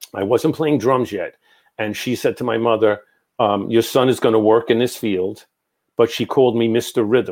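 A man with an American accent and a normal speaking voice, medium in pitch, fairly even in intonation and moderate in pace, on a very clean recording with a silent background. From New York. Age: 60s. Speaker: psychic medium. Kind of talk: casual interview.

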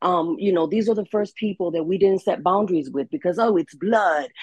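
A woman's normal speaking voice at medium pitch, fairly quick in pace with ordinary pitch variation, in a dry, close sound with no echo. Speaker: panel guest. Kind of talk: casual panel discussion.

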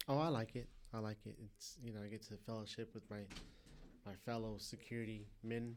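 A plain, everyday voice with an American accent, fairly even intonation, and a fairly quick pace. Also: man, medium pitch for a man. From Southern California. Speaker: church small group leader. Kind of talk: casual chat.

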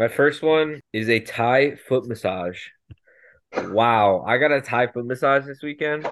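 A man at a medium pitch with a normal speaking voice, a fairly slow pace, and ordinary pitch variation. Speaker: podcast co-host. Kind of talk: casual chat.

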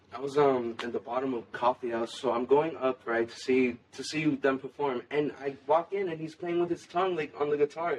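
A man's fairly high voice with ordinary pitch variation, a moderate pace and hardly any pauses, over noticeable background noise. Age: young. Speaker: metal band rhythm guitarist. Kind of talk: casual chat.

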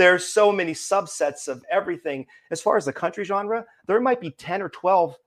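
A man with an American accent speaks at a high pitch and moderate pace with lively intonation, recorded very cleanly against a silent background. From western Pennsylvania, near Pittsburgh. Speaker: singer-songwriter. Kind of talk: casual interview chat.

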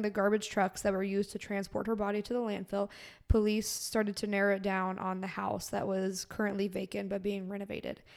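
On a very clean recording with a silent background, a woman with an American accent talks fairly quickly at a medium pitch. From Florida. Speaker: true crime podcast host. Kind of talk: reading prepared notes aloud; casual chat.

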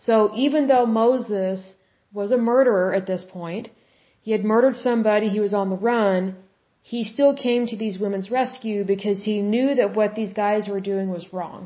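A somewhat breathy voice with an American accent, at a moderate pace with fairly even intonation. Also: woman, fairly high pitch for a woman. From Oklahoma. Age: 30s. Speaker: podcast host, Bible teacher. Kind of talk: solo Bible study podcast.

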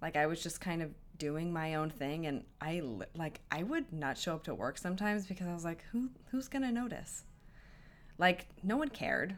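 A woman's unremarkable speaking voice, fairly low in pitch, with lively intonation at a moderate pace. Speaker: friend and former intern. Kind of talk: casual chat.

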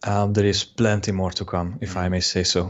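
In a Hungarian accent, a man speaks with a fairly low pitch. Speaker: web designer. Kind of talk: interview.

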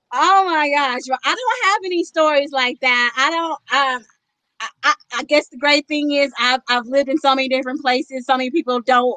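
With a bright, sharp tone and a high pitch, a woman speaks in a raised, projected voice at a moderate pace, using ordinary pitch variation, and the sound is dry and close with no echo. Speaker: author and poet. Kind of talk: casual chat.

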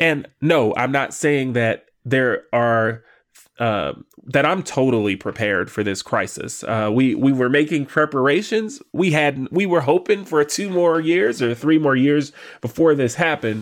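A man uses an ordinary speaking voice at a fairly high pitch and a fairly slow pace. His intonation is lively on a very clean recording with a silent background. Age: 30s. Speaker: real estate investor podcast host. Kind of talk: solo podcast monologue.

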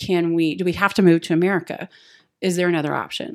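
A woman with an unremarkable speaking voice, medium pitch, and a fairly quick pace. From US South, Texas and Appalachia. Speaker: missionary. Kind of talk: casual chat.

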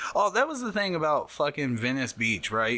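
A man with a Midwestern US accent speaks against noticeable background noise. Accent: US Midwest. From Ohio, Hamilton. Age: 30s. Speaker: tattoo artist. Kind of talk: casual chat. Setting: studio. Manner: animated.

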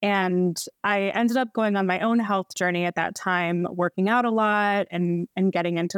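In an American accent, a woman uses a normal speaking voice at a medium pitch and moderate pace, with fairly even intonation, a dry, close sound with no echo, and a very clean recording with a silent background. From US East Coast, Baltimore. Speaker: registered dietitian. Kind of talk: podcast interview, casual conversation.

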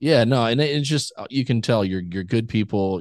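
A man with an American accent and lively intonation at a very fast pace, over a quiet background. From South Texas. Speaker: podcast host. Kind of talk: casual interview.

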